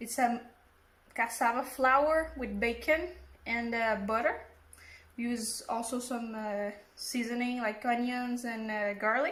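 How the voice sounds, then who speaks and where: Audible room echo surrounds a woman with a fairly high pitch who speaks fairly slowly and evenly, leaving long, frequent pauses. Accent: Portuguese. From Brazil. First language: Portuguese. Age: 20s. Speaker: home cook. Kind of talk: self-introduction.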